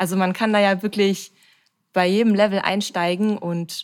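This woman speaks with monotone, flat intonation. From Ruhr area, Germany (Bochum). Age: 30s. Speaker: amateur athlete and influencer. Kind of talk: casual interview.

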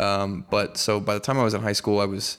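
In an ordinary speaking voice, a man with a fairly low pitch talks at a moderate pace with fairly even intonation. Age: 20s. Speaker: metal vocalist and bassist. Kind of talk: casual interview.

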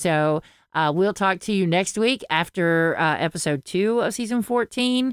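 Speaking fairly slowly with an American accent, a woman at medium pitch uses lively intonation at very even loudness, in a very clean, dry, close recording with a silent background and no echo. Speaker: podcast co-host and audiobook narrator. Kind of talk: casual chat. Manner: halting, many false starts.

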